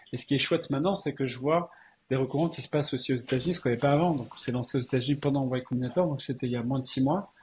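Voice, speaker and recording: Somewhat breathy, a man talks at a very fast pace with a fairly high pitch and ordinary pitch variation. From Alsace, France. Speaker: tech entrepreneur. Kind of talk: interview.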